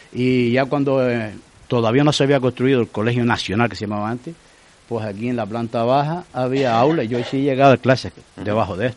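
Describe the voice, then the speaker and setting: With an ordinary speaking voice, a man talks at a fairly quick pace, his medium pitch following fairly even intonation. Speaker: retired teacher. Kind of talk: casual interview.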